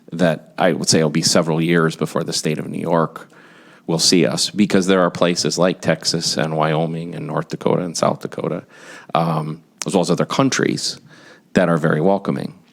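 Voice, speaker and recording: A man with an American accent talks at a moderate pace, his voice very deep and low and his intonation fairly even. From US Midwest, Wisconsin (Kenosha). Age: 50s. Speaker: business executive, expert witness. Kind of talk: legislative testimony. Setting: committee hearing room.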